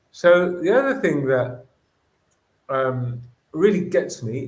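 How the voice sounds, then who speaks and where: A man with a Greek accent, his pitch swinging very widely, in audible room echo. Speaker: educator. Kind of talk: interview. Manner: animated.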